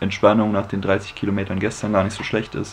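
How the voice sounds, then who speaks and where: Over light background noise, a man talks with a fairly low pitch. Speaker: hiking vlogger. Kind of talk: casual vlog chat. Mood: relaxed, cheerful. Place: home room. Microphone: phone near.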